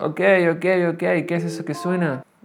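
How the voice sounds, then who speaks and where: A man is speaking. Music plays in the background. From Argentina. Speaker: podcaster. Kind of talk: solo monologue podcast. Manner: halting, many fillers; tends to speak loudly.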